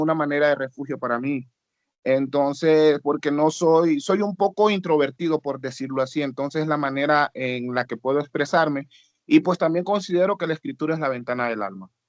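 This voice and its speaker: A man with a normal speaking voice, fairly high pitch and ordinary pitch variation, in a dry, close sound with no echo over a quiet background. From Honduras. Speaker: student, rapper. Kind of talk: class discussion.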